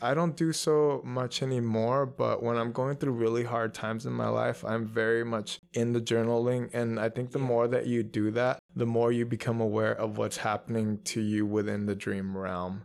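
A man at medium pitch with a Spanish accent, fairly even intonation, a moderate pace and hardly any pauses. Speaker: tarot reader and lucid dreamer. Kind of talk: casual interview conversation. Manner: reflective, spiritual.

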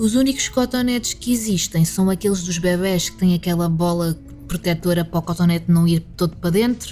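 A woman with a fairly low pitch and ordinary pitch variation talks at a fairly quick pace. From Alentejo, Portugal. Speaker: podcaster. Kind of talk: casual monologue.

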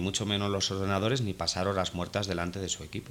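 A man's voice over music in the background. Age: 30s. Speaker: photo retoucher, studio owner. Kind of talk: interview. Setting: guest's studio office.

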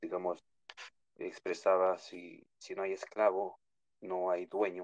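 The recording is dry and close, with no echo at all. A man delivers his words at a very slow pace. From New York (born in Ecuador). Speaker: caller. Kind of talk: opinion call-in on a live audio space.

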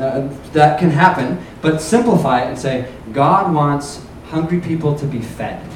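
A man talks at a fairly slow pace with lively intonation and a fairly high pitch. Noticeable background noise and audible room echo surround him. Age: 20s. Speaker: youth pastor. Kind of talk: sermon.

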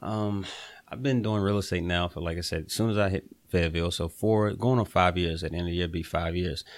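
A man with an American accent and a very deep, low pitch talks at a fairly quick pace with ordinary pitch variation in a very clean recording with a silent background. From eastern North Carolina. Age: 20s. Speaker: real estate investor. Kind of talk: casual interview.

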